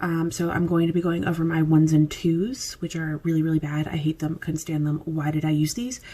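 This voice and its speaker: A woman with a fairly low pitch talks quietly at a moderate pace. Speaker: beauty vlogger. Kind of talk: casual product review vlog. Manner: casual, filler-heavy.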